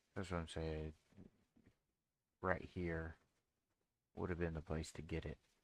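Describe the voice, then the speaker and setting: Soft-spoken and monotone, with flat intonation, a fairly slow pace and long, frequent pauses. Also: man, very deep, low pitch for a man. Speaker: day trader streamer. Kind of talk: live trading stream. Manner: casual.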